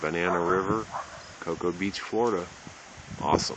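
Over noticeable background noise, a man speaks with a very deep, low pitch and fairly even intonation in a dry sound with no echo. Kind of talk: casual narration. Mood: calm, interested. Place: waterside. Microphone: phone near.

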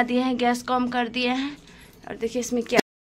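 A woman with a high-pitched voice speaks at a moderate pace. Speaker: home vlogger. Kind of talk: casual vlog chat. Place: kitchen. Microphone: phone near.

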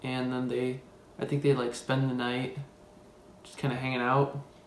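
Flat, monotone intonation amid light background noise and audible room echo. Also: man. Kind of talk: casual storytelling, film plot retelling. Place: kitchen. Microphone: phone near.

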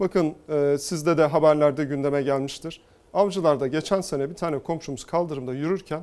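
A man's fairly high voice at a moderate pace, fairly even in intonation, an unremarkable speaking voice. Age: 40s. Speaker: politician, mayoral candidate. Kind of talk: TV interview.

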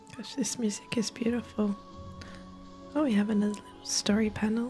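Soft-spoken whispering at a fairly quick pace, with music in the background. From Australia. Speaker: civil marriage celebrant and gamer; gamer. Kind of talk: quiet gameplay commentary for sleep. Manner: quiet, soft-spoken, whispering.

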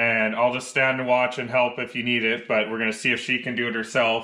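Quiet surroundings and a man talking at a moderate pace. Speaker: car DIY vlogger. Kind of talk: casual vlog chat. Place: garage. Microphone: phone near.

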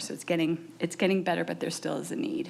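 A woman's fairly low-pitched voice. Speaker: early childhood program staff presenter. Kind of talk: presentation at school board meeting. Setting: boardroom meeting. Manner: loud; many filler ums, halting.

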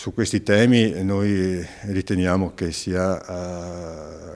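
A man's very deep, low voice holds a fairly even intonation. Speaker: local party representative, engineer. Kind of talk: news interview. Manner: halting, many fillers. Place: studio.

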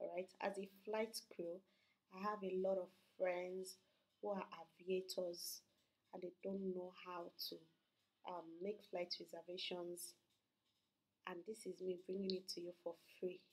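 A woman talks in a monotone with flat intonation. Her speech has long, frequent pauses. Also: medium pitch for a woman, fairly slow pace. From Nigeria, Port Harcourt. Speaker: YouTuber. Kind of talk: tutorial. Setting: at home at night. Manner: soft-spoken.

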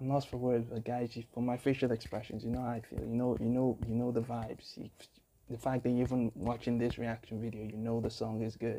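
Over light background noise, a dark, mellow voice speaks flatly in a monotone at a fairly quick pace. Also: man. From Africa. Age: young. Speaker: YouTube music reactor and musician; YouTube music reactor. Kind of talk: reaction video commentary. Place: home room. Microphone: earbuds.

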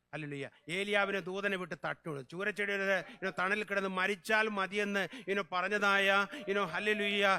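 Raising and projecting his voice, a man speaks at a high pitch. His tone is bright and sharp, with monotone, flat intonation. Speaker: pastor. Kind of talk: sermon. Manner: fervent, repeated hallelujahs.

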